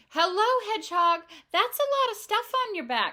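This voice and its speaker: A woman puts on a character voice, squeaky and croaky at an extremely high pitch. She keeps a moderate pace. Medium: read story.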